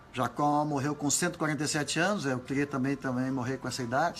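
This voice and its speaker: Hardly pausing, a man with a fairly high pitch speaks over noticeable background noise. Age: 80s+. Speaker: pastor. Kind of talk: sermon. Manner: animated.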